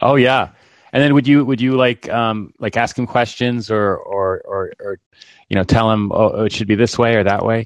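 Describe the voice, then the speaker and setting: Against a quiet background, a man speaks at a medium pitch in an ordinary speaking voice. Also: fairly even intonation, moderate pace. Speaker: caller. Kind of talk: casual chat. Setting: phone call.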